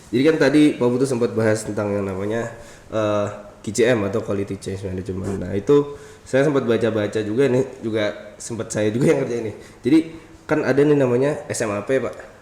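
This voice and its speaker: Noticeable background noise is present throughout. Over it, a man speaks at a very fast pace. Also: medium pitch for a man, ordinary pitch variation. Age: 20s. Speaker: podcast host. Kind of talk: casual interview. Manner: animated.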